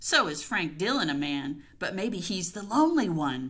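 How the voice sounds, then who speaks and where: In a put-on character voice, a female-sounding speaker growls at a moderate pace with a fairly low pitch. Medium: read story. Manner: brisk, blunt.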